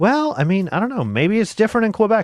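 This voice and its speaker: Here is a man with a plain, everyday voice. His pace is fairly quick, and his pitch varies in an ordinary way. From United States. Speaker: video game streamer. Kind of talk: casual gameplay commentary.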